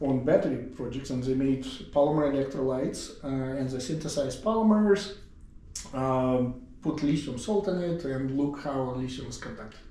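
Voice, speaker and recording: Amid noticeable background noise and audible room echo, a man with an Eastern European accent and fairly high pitch speaks at a moderate pace with ordinary pitch variation and long, frequent pauses. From Siberia, Russia. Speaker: professor and department chair. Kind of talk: casual interview.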